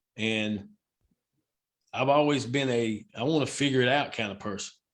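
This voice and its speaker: Speaking at a moderate pace, a man uses ordinary pitch variation. He has an ordinary speaking voice. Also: medium pitch for a man. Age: 60s. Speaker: baseball umpire. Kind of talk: casual chat.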